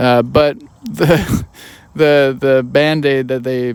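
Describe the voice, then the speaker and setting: With an American accent and fairly even intonation, the speaker has an unremarkable speaking voice. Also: man. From United States. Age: 30s. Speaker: podcast host. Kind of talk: casual podcast conversation.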